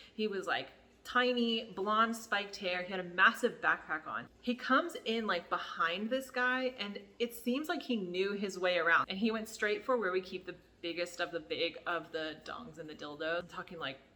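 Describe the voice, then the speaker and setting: A woman with an American accent has an ordinary speaking voice at a medium pitch. She talks at a moderate pace with lively intonation. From United States. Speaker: YouTuber, former adult store worker. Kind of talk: story time. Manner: casual, filler-heavy.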